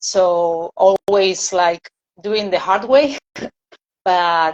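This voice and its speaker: Speaking very slowly, a woman with a Spanish accent keeps a medium pitch and fairly even intonation. The sound is dry and close, with no echo. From Argentina, Buenos Aires. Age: 30s. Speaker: singer. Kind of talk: interview. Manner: halting.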